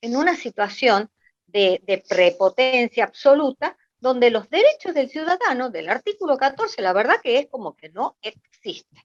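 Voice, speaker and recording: High female voice at a moderate pace, with very wide pitch swings and big swings in loudness, dry and close with no echo. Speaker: audience member asking a question. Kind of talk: question at a political online meeting.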